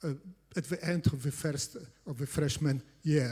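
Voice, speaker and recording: Somewhat breathy delivery with a dark, mellow tone and ordinary pitch variation. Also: man. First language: Polish. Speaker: competitive programming coach. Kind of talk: conference talk. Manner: halting, many fillers.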